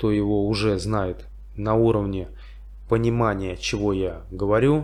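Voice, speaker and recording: A man with a St Petersburg accent speaks at a fairly slow pace. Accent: Russian, St. Petersburg. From St. Petersburg, Russia. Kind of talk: casual talk to camera. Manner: slow, simple wording.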